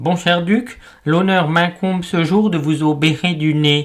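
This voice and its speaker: A nasal, put-on character voice at a middle pitch and a fairly slow pace. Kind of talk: pompous, formal. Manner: comic, stuffy.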